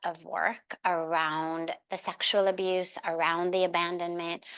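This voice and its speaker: The tone is bright and sharp, and the pace is very slow. The background is quiet. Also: woman. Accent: American. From Los Angeles, USA. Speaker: spiritual leader and motivational speaker. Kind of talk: podcast interview answer.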